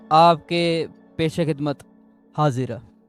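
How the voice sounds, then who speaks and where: Music plays in the background as a man speaks in a high pitch. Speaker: YouTube interviewer host. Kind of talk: interview host talk.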